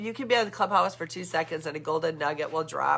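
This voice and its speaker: A woman with a fairly low pitch speaks at a fairly quick pace, her tone animated and her pitch variation ordinary. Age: 60s. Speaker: vlogger. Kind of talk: casual monologue. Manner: halting.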